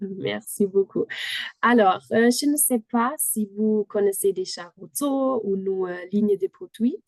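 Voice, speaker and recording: A woman with a German accent, fairly high pitch and ordinary pitch variation, at a very slow pace, in a dry, close sound with no echo. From Germany. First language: German (speaking French). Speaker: company product manager. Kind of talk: product presentation. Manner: halting.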